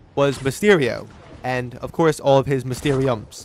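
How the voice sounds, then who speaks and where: A man speaks with music in the background. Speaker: gaming commentator. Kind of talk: game review commentary.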